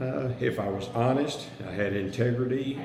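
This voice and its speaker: Over noticeable background noise and audible room echo, a man talks at a fairly slow pace with very wide pitch swings. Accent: American. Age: 60s. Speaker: county commissioner candidate. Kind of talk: interview. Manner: halting, with fillers and restarts.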